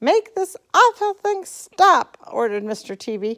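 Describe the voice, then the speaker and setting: A squeaky, put-on character voice moves at a moderate pace with very wide pitch swings. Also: woman, extremely high pitch for a woman. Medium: read story.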